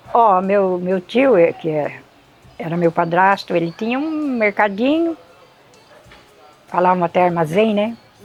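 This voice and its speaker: With music playing in the background, a woman at medium pitch speaks fairly slowly with lively intonation and long, frequent pauses. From São Paulo, Brazil (Morro Doce since age 10). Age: 70s. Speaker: longtime local resident. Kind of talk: interview testimony.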